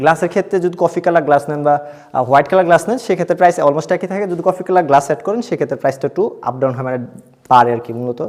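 A man in a plain, everyday voice, fairly high in pitch, with lively intonation. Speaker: furniture designer showing his work. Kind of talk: product showcase tour.

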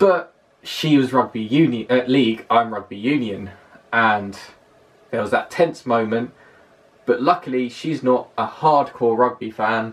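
A man speaks fairly slowly in a southern English accent. His pitch varies in an ordinary way, with long, frequent pauses. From London, southern England. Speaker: vlogger. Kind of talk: vlog monologue. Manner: hesitant, many fillers. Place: home room. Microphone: camera far.

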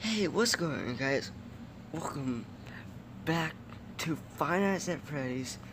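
Speech moves at a very slow pace with lively intonation. Noticeable background noise can be heard. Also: man. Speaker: mobile gamer. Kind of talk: casual gameplay commentary.

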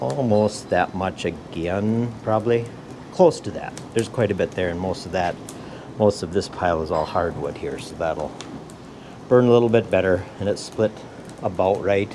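Over noticeable background noise, a man speaks at a moderate pace with long, frequent pauses and ordinary pitch variation. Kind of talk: casual vlog chat. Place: workshop. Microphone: phone near.

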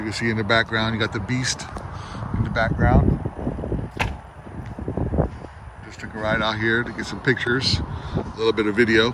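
Over loud background noise, a man speaks at a fairly quick pace in a dry recording with no echo. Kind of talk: casual vlog chat. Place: street. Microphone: phone near.

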